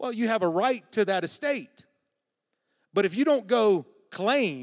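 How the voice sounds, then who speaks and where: A man with a Southern US accent speaks at a high pitch and a fairly slow pace. His intonation is lively. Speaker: guest preacher. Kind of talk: sermon. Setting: church.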